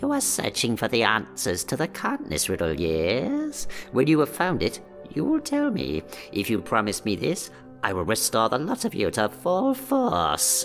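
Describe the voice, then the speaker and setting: Over clear background music, a man puts on a sinister character voice at a moderate pace. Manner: sinister, bargaining.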